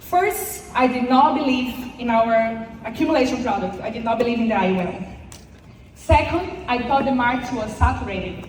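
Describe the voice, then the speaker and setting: Noticeable background noise and audible room echo around a woman's high voice. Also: moderate pace. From Brazil. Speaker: insurance sales agent. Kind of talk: motivational speech. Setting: stage with audience. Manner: halting.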